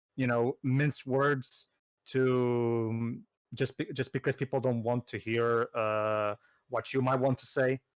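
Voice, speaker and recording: Very slow, monotone, flat speech from a man at medium pitch, dry and close with no echo. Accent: Portuguese. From Portugal. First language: Portuguese. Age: 30s. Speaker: gaming commentator. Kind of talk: casual chat. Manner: halting, many repetitions.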